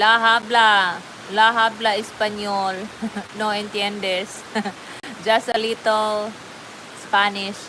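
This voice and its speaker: A woman speaks very slowly in a fairly high pitch, with long, frequent pauses. Her intonation is monotone and flat. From Philippines, Davao, Mindanao. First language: Bisaya. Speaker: livestream host. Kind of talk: casual chat. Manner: chatty, filler-heavy.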